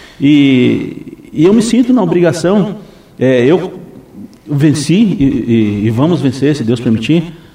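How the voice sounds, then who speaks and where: Very wide pitch swings run through speech delivered at a very slow pace. Audible room echo surrounds it. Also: man, fairly high pitch for a man. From Brazil, Foz do Iguaçu (Paraná). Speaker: municipal guard and vice-mayor candidate. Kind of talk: radio interview. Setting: radio studio. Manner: halting, many repetitions.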